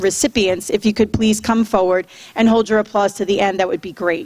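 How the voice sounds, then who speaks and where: This woman has an unremarkable speaking voice at a fairly high pitch. She keeps a moderate pace and fairly even intonation. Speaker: school principal. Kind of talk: public address at school board meeting; reading list of names. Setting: school board meeting with audience.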